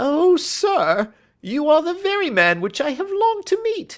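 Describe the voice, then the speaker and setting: In a put-on character voice, the speaker whines at an extremely high, squeaky pitch, sounding shaky at a moderate pace. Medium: read story. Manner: whining, nervous.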